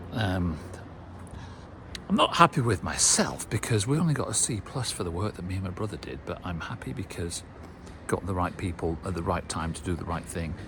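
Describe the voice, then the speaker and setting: In a British accent, a man with a very deep, low voice talks at a fairly quick pace. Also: ordinary pitch variation. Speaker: car restoration vlogger. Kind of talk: casual vlog commentary. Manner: hesitant, many fillers.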